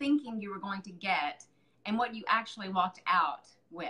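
Speaking at a moderate speed, a woman lets her pitch swing very widely. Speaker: makeup artist. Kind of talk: casual live video talk. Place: home room. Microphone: webcam.

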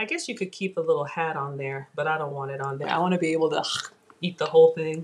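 A woman's very deep, low voice, very fast and fairly even in intonation, over light background noise. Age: 40s. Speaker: cooking show host. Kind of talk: live cooking stream. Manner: casual, chatty. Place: kitchen. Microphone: webcam.

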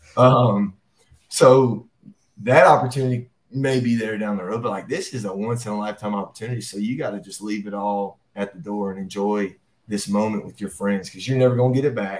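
A man with an American accent talks in a plain, everyday voice with fairly low pitch. His loudness swings widely while his intonation stays fairly even. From US South. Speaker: high school football coach. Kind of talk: interview. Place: office.

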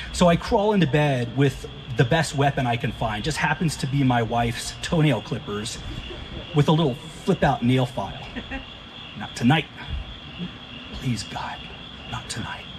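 With an American accent, a man speaks at a moderate pace, his pitch fairly high with ordinary variation. Long, frequent pauses break his speech, and there is noticeable background noise. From US Texas. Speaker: stand-up comedian. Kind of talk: stand-up comedy. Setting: stage with audience. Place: garden. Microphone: handheld.

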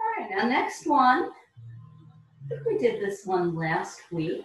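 A woman is heard with music in the background and audible room echo. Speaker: exercise instructor. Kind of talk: tutorial. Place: home room. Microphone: camera far.

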